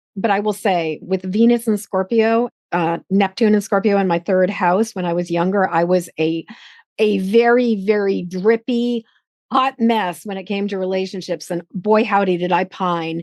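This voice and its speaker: Against a quiet background, a woman with a normal speaking voice talks at a moderate pace and medium pitch, her intonation fairly even and the sound dry and close with no echo. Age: 60s. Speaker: podcast host. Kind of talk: casual interview conversation.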